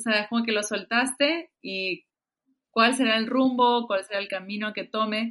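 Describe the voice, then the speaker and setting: Against a quiet background, a woman with a bright, sharp tone and medium pitch speaks at a fairly slow pace with fairly even intonation. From Peru. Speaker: musician. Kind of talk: casual interview.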